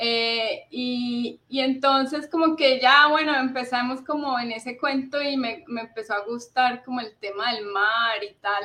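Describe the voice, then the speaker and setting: Her pitch high and her tone bright and sharp, a woman speaks at a fairly slow pace with fairly even intonation and hardly any pauses. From Colombia, Cali. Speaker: bird conservationist. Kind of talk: interview.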